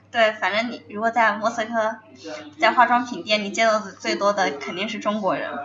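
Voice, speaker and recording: A woman with a fairly high pitch varies greatly in loudness against noticeable background noise. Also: ordinary pitch variation, moderate pace. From China. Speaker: student. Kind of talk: casual chat. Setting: cafe.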